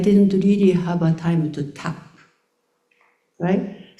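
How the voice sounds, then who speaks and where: A woman's somewhat breathy voice with a dark, mellow tone and a Japanese accent, set in audible room echo. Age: 70s. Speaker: choreographer. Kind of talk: panel discussion. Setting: stage with audience. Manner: halting.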